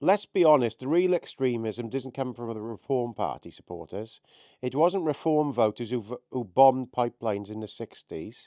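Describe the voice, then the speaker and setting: A man with a Welsh accent talks at a moderate pace and medium pitch, his dark, mellow tone carried by lively intonation, in a dry, close recording with no echo and a quiet background. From Wales. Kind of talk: political commentary to camera. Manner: impassioned.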